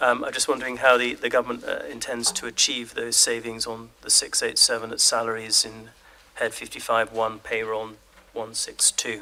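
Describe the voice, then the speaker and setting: A man speaks quietly. There is noticeable background noise. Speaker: opposition member of parliament. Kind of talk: parliamentary committee questioning. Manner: quiet, hard to hear.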